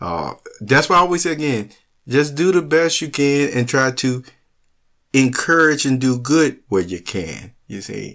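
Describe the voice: A man with a fairly bright tone, big pitch swings and a fairly slow pace. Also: medium pitch for a man.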